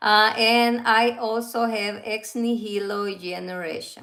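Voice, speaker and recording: Fairly high in pitch, a woman speaks with a Central American Spanish accent. Her intonation stays fairly even. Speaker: fragrance reviewer. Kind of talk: casual livestream review. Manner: halting.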